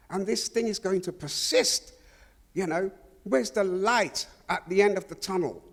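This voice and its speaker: A high-pitched man at a moderate pace, with ordinary pitch variation and noticeable background noise. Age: 70s. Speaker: audience member. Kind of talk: audience question. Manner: halting.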